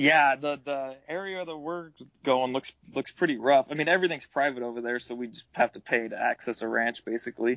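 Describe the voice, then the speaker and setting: The man uses an ordinary speaking voice, talking rather quickly and varying his pitch in a normal way. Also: fairly high pitch for a man, big swings in loudness. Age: 20s. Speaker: hunter. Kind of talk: casual chat.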